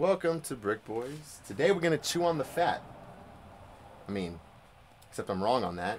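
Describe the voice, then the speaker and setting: Taking long, frequent pauses, a man with vocal fry speaks at a medium pitch and a moderate pace, with very wide pitch swings. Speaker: card collecting video host. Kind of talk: casual unboxing chat. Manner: subdued, quieter than usual.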